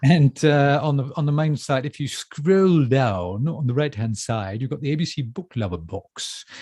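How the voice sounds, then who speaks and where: Against a quiet background, a man speaks at a moderate pace with hardly any pauses, his fairly high, somewhat breathy voice carrying a dark, mellow tone. His intonation is lively. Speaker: bookshop staff presenter. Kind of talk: casual chat. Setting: live stream. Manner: halting, many fillers.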